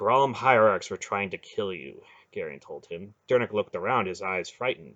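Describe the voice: Someone reads a passage out loud. The delivery is plain.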